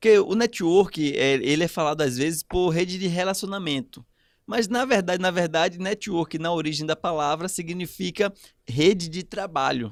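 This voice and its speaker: A man talks at a moderate pace with ordinary pitch variation. His voice sits high. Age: 30s. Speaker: podcast guest, networking expert. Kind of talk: casual chat.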